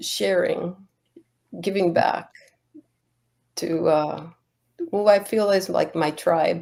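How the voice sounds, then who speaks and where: A woman with a Spanish accent, at a very slow pace. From Cuba and the US, Cuban-American family. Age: 60s. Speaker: Buddhist nun. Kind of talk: interview. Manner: halting.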